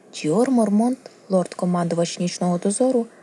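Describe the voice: This is plain reading aloud. Nothing more is done with the voice.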